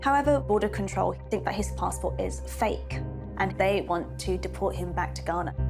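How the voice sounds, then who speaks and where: Music is heard in the background. The talking keeps a moderate pace. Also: woman. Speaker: archaeologist and TV presenter. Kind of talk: TV documentary presenting.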